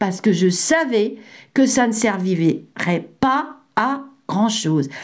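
In a room with audible echo, a woman with a fairly high pitch talks at a very slow pace, her pitch swinging very widely. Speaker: psychic medium and former healthcare worker. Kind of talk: vlog monologue. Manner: hesitant, many fillers.

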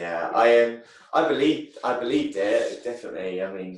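In an English accent, a man talks at a moderate pace amid audible room echo. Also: quiet background. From England. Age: 30s. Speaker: taekwondo champion; podcast guest. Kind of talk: casual chat. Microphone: video call.

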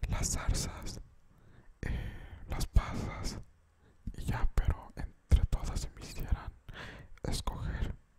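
Loud background noise fills the recording. A man speaks at a very slow pace with long, frequent pauses. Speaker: ASMR creator. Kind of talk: casual vlog chat. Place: home room. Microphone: studio mic.

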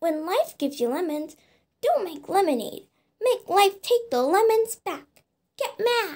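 Extremely high in pitch, a put-on character voice plays out at a fairly slow pace. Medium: dub. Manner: angry, ranting.

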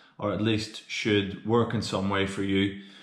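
A man talks in a fairly low voice against a quiet background. The room gives an audible echo. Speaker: strength coach. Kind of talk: tutorial. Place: home room. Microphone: phone near.

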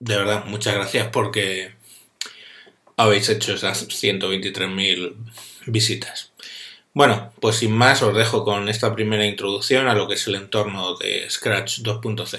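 Against a quiet background, a man with a Spanish accent speaks fairly slowly in a fairly low, monotone, flat voice. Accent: Spanish (Spain). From Spain. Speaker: tutorial maker; course instructor. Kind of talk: video introduction; tutorial. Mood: warm, grateful. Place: home room. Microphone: webcam.

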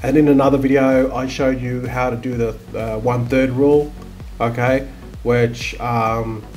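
A man talks at a moderate pace, with faint music playing in the background. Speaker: online seller. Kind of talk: tutorial. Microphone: webcam.

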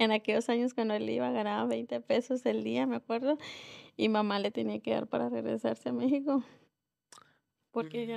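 Quiet background, a woman's fairly quick speech. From northern Mexico, Nuevo Laredo; Mexico. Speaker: restaurant owner; guest. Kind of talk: interview. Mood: calm, reflective. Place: studio. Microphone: studio mic.

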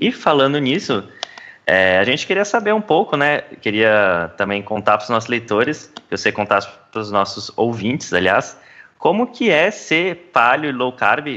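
A man speaks with very wide pitch swings and a bright, sharp tone. His pace is moderate. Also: medium pitch for a man. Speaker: podcast host.

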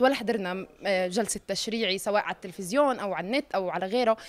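A woman with a Palestinian accent at a fairly quick pace. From Palestine. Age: 20s. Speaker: youth participant in mock parliament session. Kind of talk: interview. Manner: casual dialect. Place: hall. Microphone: handheld.

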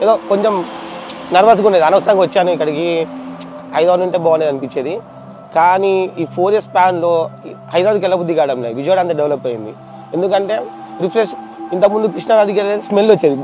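The sound is dry with no echo, with noticeable background noise and ordinary pitch variation. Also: man, high pitch for a man. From Hyderabad, India. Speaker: local resident interviewee. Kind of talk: testimonial interview. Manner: casual, Telugu-English code-mixed. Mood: positive, praising. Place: street.

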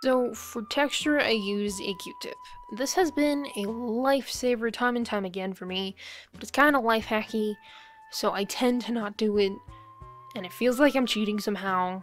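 A woman mumbles at a moderate pace in a fairly high pitch, with ordinary pitch variation, big swings in loudness and music in the background. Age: young. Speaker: artist. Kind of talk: casual art video voiceover. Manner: mumbling.

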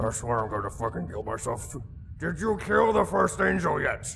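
Clear background noise sits under the speech. The pace is moderate. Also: man. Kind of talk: comic parody dub. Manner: frustrated, increasingly shouting.

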